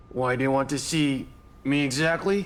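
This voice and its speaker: A man adopts a put-on character voice pitched in the medium range. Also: moderate pace, ordinary pitch variation. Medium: fan dub. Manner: ironically courteous, menacing.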